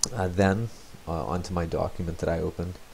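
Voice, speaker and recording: A very deep, low male voice, soft-spoken and somewhat breathy, with a dark, mellow tone and a fairly quick pace. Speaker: teacher. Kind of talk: tutorial. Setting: home, next room to sleeping baby.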